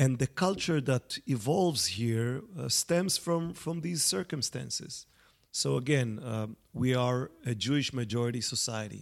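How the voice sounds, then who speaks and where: The pace is fairly slow as a man talks. His pitch moves in an ordinary way. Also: medium pitch for a man. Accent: Israeli. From Israel. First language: Hebrew. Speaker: journalist and author. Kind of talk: interview conversation. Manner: hesitant, many fillers.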